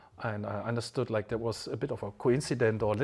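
A somewhat breathy man with a German accent, at medium pitch and a moderate pace, with ordinary pitch variation. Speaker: wine channel host. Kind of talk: casual interview during a wine tasting.

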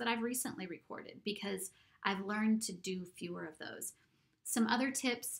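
A woman speaks at a moderate pace with an unremarkable speaking voice. Her pitch is medium, with ordinary variation. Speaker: audiobook narrator and audio editing teacher. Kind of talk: instructional screen-recording tutorial. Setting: home recording setup. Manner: casual, chatty.

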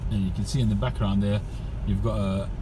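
Over noticeable background noise, a man speaks with a very deep, low pitch. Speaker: driver vlogger. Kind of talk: casual vlog chat. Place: car. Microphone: phone near.

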